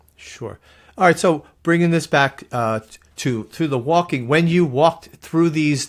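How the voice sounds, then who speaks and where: A man talks at a fairly slow pace with lively intonation. The recording is very clean, with a silent background. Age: 60s. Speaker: podcast host. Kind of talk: interview conversation. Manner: halting.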